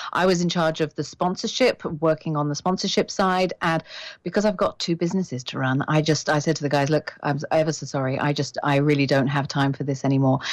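A woman's very deep, low voice with a British accent, fairly quick in pace, over a quiet background. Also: ordinary pitch variation, hardly any pauses. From Britain. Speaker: executive headhunter and coach. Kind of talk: interview.

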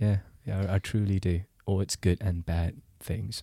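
Recorded very cleanly against a silent background, a man speaks in a somewhat breathy, dark, mellow voice of fairly low pitch, with fairly even intonation and a dry, close sound free of echo. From Singapore. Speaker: journalist. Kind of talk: casual chat.

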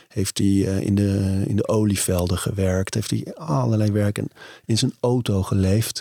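A man with a normal speaking voice talks at a fairly slow pace, very even in loudness with ordinary pitch variation, on a very clean recording with a silent background and a dry, close sound with no echo. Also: fairly low pitch for a man. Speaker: podcast host. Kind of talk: interview.

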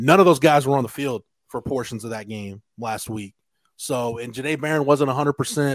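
In a dry, close sound with no echo, a man with a normal speaking voice and medium pitch talks at a fairly quick pace, with ordinary pitch variation and big swings in loudness. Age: 40s. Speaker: college football reporter. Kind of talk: casual chat. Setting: video call.

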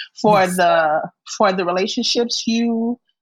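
A woman with an American accent speaks at a medium pitch with ordinary pitch variation, her voice somewhat breathy and the sound dry and close with no echo. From Miami, Florida. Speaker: actress and children's book author. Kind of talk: casual chat. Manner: animated.

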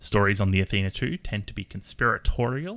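A bright, sharp tone with an Australian accent, on a very clean recording with a silent background. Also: man. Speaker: game designer and player. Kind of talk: tabletop roleplaying game session.

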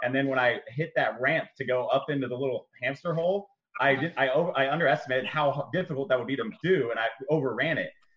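A man with an American accent talks at a very fast pace. His pitch is fairly high with ordinary variation. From San Diego, California. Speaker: fitness coach. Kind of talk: casual chat.

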